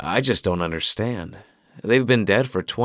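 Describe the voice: The speaker is reading aloud. The delivery is plain.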